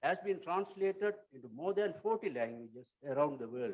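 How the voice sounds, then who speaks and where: A man speaks with a Tamil accent at a moderate pace. His intonation is lively. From Sri Lanka. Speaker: writer and translator. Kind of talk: conference talk. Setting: auditorium. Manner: formal.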